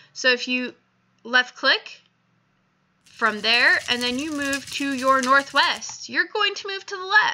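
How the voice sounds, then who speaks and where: Slowly and at a high pitch, a woman speaks in a raised, projected voice with a bright, sharp tone and very wide pitch swings. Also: big swings in loudness. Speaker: video game tutorial maker. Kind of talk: tutorial.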